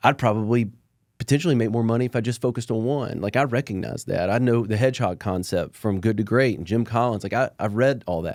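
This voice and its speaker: In a Southern US accent, a man speaks at a fairly quick pace and medium pitch with ordinary pitch variation, on a very clean recording with a silent background. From Alabama. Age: 40s. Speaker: entrepreneur. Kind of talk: podcast interview. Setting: studio.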